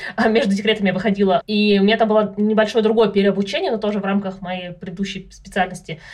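Amid noticeable background noise, a woman rushes along at a very fast pace with hardly any pauses, in a medium pitch and monotone, flat intonation. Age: 30s. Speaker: data analyst, mother of three. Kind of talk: casual chat.

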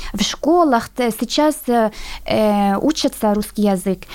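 A woman with an Arabic accent, high-pitched, with lively intonation and a very slow pace. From Syria. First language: Arabic (speaking Russian). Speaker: international student. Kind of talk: radio interview. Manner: halting.

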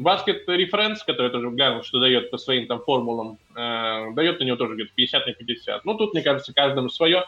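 Fairly high in pitch, a man talks at a fairly quick pace with hardly any pauses and lively intonation. He has an unremarkable speaking voice. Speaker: basketball blogger, podcast guest. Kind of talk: casual chat.

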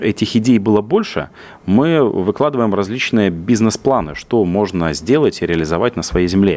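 A man speaks in a normal speaking voice at fairly low pitch. His pace is moderate. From Russia, Yaroslavl region. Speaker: business development director. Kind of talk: radio interview.

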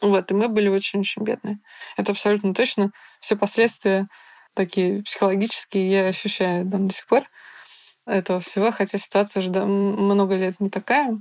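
In a very clean recording with a silent background and a dry, close sound with no echo, a woman talks at a moderate pace and medium pitch, her intonation monotone and flat, with long, frequent pauses. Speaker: feminist historian and activist. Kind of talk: interview.

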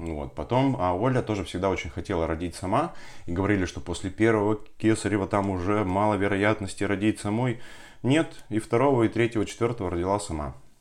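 An unremarkable speaking voice from a man, fairly low in pitch, at a fairly quick pace against a quiet background. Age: 30s. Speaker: entrepreneur and father of four. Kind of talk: podcast interview about personal birth story.

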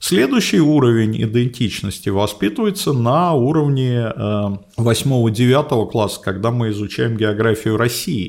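A man at a very slow pace, medium pitch and ordinary pitch variation. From Moscow, Russia. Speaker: geography professor. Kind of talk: interview.

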